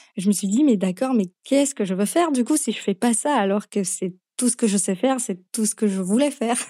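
In a very clean recording with a silent background, a woman speaks at a moderate pace with a fairly high pitch, ordinary pitch variation and a dark, mellow tone. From Slovakia. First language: Slovak (speaking French). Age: young. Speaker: nutrition therapist. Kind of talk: podcast interview.

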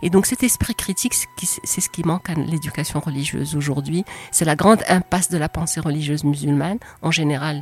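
A woman talks at a fairly quick pace in a very deep, low pitch, with ordinary pitch variation. Noticeable background noise runs behind her. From Morocco. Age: 60s. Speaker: essayist and retired doctor. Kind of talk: interview. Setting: in person.

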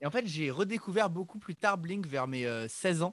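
In a normal speaking voice, a man talks at a fairly quick pace with lively intonation, the sound dry and close with no echo. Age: 20s. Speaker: pop-punk musician. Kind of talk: casual chat.

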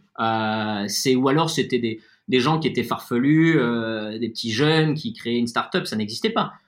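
The speaker goes at a fairly slow pace with ordinary pitch variation against a quiet background. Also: man, medium pitch for a man. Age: 30s. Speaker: wine estate owner. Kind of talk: interview. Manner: halting.

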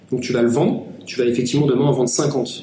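Noticeable background noise and audible room echo surround the speaker. A man talks at a fairly quick pace and a medium pitch. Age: 20s. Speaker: founder of a digital strategy agency. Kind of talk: interview.

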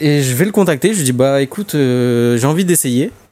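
Speaking at a fairly slow pace, a man shows a dark, mellow tone and ordinary pitch variation. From Paris suburbs. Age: 20s. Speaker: airsoft website co-founder. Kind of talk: casual chat.

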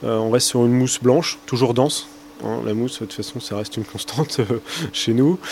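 Noticeable background noise is present. Over it, a man talks at a medium pitch. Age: 30s. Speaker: brewery owner. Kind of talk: interview. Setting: at the brewery. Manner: hesitant, many repeated words.

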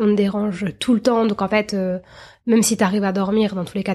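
This woman talks at a fairly quick pace with a fairly high pitch and an unremarkable speaking voice. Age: 30s. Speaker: journalist and new mother. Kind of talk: interview testimony.

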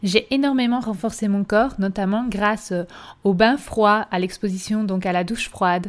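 A normal speaking voice from a woman, medium-pitched and moderately paced, with ordinary pitch variation. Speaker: podcast host and wellness coach. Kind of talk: monologue podcast intro.

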